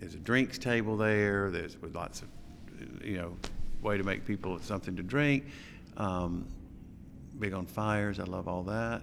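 A man with an American accent at a fairly low pitch, moderate pace and ordinary pitch variation, with long, frequent pauses. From US South, small-town Alabama. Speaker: interior designer. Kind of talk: casual interview.

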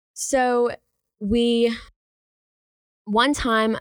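A woman speaks with an American accent. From Charlotte, North Carolina. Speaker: college radio DJ and blogger. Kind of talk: casual storytelling chat. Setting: studio. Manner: hesitant, many fillers.

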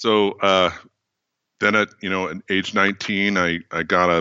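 With a General American accent, a man talks in a monotone, flat intonation. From US West Coast, California Bay Area. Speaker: engineering educator. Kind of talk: interview.

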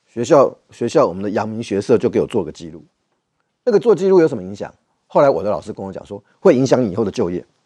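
This man talks at a very fast pace at a medium pitch, his dark, mellow tone marked by very wide pitch swings and big swings in loudness. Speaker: political commentator. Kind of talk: political talk show.

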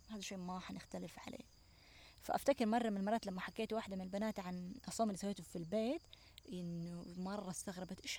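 In a dark, mellow tone, a woman talks somewhat breathily at a moderate pace. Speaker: natural products entrepreneur and cookbook author. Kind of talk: casual chat. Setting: outdoors on a farm.

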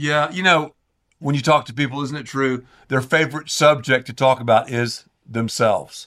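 Speaking with a Southern US accent, a man has a fairly high pitch and a bright, sharp tone. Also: fairly even intonation, moderate pace, very clean recording, silent background. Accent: Southern American. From US South, the Carolinas. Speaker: pastor. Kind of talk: casual chat.

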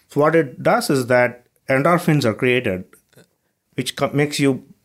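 A man speaks in an Indian accent with ordinary pitch variation. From southern India. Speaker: startup co-founder and CEO. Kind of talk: casual interview chat.

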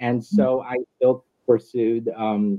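A man uses an unremarkable speaking voice at a medium pitch, with lively intonation. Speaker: nurse leader. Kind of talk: interview.

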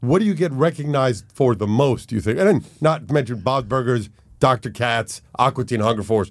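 This man talks at a fairly quick pace with lively intonation and a medium pitch, in an ordinary speaking voice. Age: 50s. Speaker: podcast host. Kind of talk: casual chat. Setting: studio.

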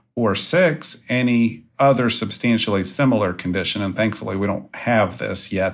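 In a normal speaking voice, a man talks at a moderate pace. His pitch is fairly low, with ordinary pitch variation. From West Virginia. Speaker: employment lawyer. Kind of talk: interview.

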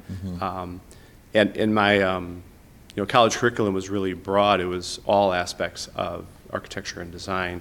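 This man has a very deep, low pitch and an American accent. He talks at a moderate pace with monotone, flat intonation. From Chicago, Southwest Side. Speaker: architect. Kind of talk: casual interview. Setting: in-person office conference room.

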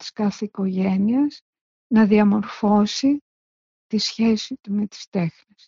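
Somewhat breathy, a woman talks at a very slow pace with a fairly high pitch and ordinary pitch variation. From Greece, Salamina. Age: 70s. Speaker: visual artist. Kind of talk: interview recollection.

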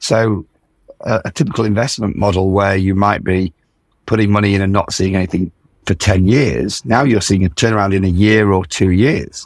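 A man with a British accent speaks at a moderate pace. His pitch is fairly low, with ordinary variation and very even loudness. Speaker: founder of an investor network. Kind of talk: casual interview.

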